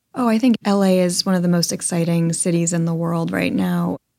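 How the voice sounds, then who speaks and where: With an American accent, a woman speaks at a fairly quick pace in a medium pitch, her tone dark and mellow. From US Northeast, Connecticut. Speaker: foundation president. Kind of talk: interview.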